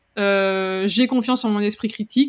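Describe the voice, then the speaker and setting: The recording is very clean, with a silent background. A woman speaks very slowly in a fairly high voice. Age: 30s. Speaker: copywriter and entrepreneur. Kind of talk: interview.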